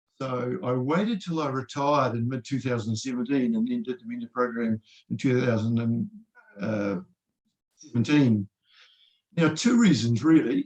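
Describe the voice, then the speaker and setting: A man with a New Zealand accent. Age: 60s. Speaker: retired engineering professor and trader. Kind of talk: interview. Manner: halting.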